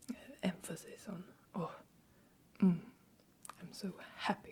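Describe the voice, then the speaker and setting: Soft-spoken whispering at a very slow pace. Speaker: Swedish language teacher. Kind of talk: language-teaching ASMR, soft-spoken.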